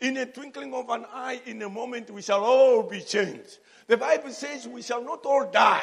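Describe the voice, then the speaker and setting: Speaking with a Zambian accent at a moderate pace, a man uses an extremely high pitch for a man and ordinary pitch variation. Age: 60s. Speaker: preacher. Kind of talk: sermon. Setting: church.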